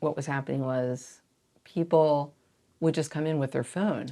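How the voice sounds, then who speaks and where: The speaker uses an American accent at a moderate pace on a very clean recording with a silent background. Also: woman. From US Northeast (South Jersey). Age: 60s. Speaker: store owner. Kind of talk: casual interview chat. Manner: animated.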